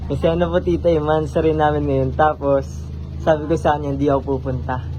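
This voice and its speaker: Over music in the background, a man with a very deep, low pitch talks at a very fast pace with fairly even intonation. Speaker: vlogger. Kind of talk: vlog. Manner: quieter, hushed.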